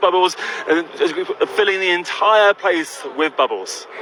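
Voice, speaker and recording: Noticeable background noise accompanies a man with a London accent. His voice is high-pitched. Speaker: bubble entertainer. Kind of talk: live radio interview. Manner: halting with repetitions.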